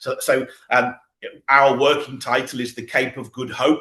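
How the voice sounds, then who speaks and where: The speaker has a British accent. The tone is bright and sharp. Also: man. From Britain. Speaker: political activist. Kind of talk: interview.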